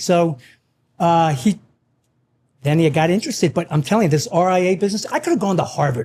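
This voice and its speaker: Talking at a fairly quick pace, a man with a high pitch and a dark, mellow tone uses lively intonation. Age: 60s. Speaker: financial investment firm CEO. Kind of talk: casual chat. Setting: in a winery barn.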